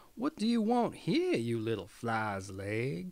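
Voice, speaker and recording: A man uses a put-on character voice at a medium pitch and a fairly slow pace. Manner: contemptuous, scornful.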